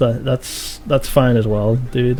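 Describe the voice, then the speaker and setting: Over noticeable background noise, a man talks in a relaxed tone at a medium pitch. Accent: Liverpool. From Merseyside, near Liverpool (Wirral). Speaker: video game streamer. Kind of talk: live stream commentary. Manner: relaxed, many fillers.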